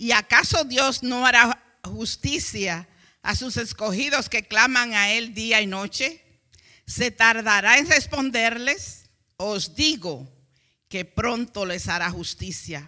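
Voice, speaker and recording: The speech comes at a very slow pace on a very clean recording with a silent background. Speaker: preacher. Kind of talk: sermon. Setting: church. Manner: fervent, urgent, preaching with pauses for interpretation.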